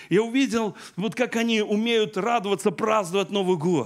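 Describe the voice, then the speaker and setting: His pitch is high for a man, and his pitch variation is ordinary. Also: quiet background. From Belarus. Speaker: pastor; preacher. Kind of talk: sermon. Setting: church. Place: church. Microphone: handheld.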